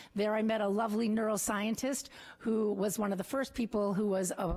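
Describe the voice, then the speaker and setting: A woman with a slight Wisconsin accent talks at a fairly quick pace and a medium pitch. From rural Wisconsin. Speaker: political candidate. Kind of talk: opening statement. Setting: council chambers with audience.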